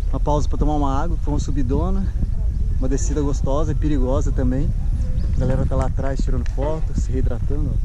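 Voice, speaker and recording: A man speaks at a fairly quick pace in a dry sound with no echo, though noticeable background noise is present. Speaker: cyclist vlogger. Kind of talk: casual vlog chat. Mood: cheerful, relaxed. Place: open country. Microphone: phone near.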